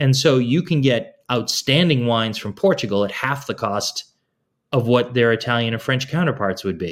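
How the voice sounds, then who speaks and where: In an American accent, a man with an unremarkable speaking voice talks at a moderate pace and medium pitch with lively intonation, recorded very cleanly against a silent background. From Boston, US. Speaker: food and wine educator. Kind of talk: interview, casual conversation.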